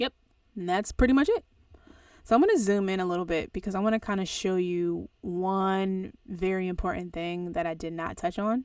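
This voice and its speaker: The speaker is a woman with a medium pitch. Her pitch variation is ordinary. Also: moderate pace, very clean recording, silent background. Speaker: audio engineer and music producer teaching. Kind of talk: tutorial. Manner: casual.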